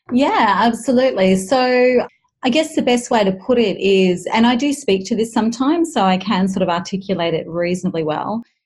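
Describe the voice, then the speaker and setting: Somewhat breathy and fairly high in pitch, a woman with an Australian accent talks at a fairly quick pace with lively intonation and very even loudness. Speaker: communication consultant. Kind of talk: interview conversation. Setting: video call.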